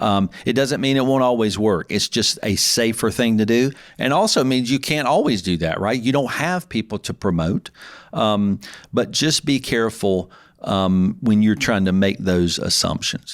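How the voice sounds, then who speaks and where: Recorded very cleanly against a silent background, a man with a Southern US accent speaks at a medium pitch with lively intonation and very even loudness. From US South. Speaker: podcast host and accountant. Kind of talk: solo podcast talk. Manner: fast.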